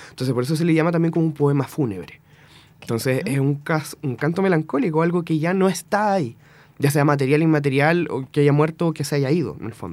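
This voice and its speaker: Speaking at a very fast pace with a Chilean accent, a man uses a fairly high pitch and ordinary pitch variation. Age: 20s. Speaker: musician. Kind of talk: casual interview. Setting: radio studio.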